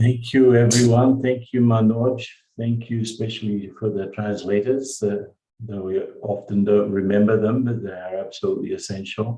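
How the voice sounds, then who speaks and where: A man's dark, mellow voice at medium pitch, with fairly even intonation and an Australian accent. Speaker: spiritual teacher. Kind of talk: spiritual talk. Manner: slow.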